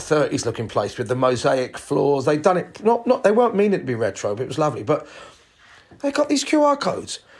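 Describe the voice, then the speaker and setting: Speaking fairly quickly with a British accent, a man's voice moves through very wide pitch swings. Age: 60s. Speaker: podcast host, entertainer. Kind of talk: solo podcast rant. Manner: animated.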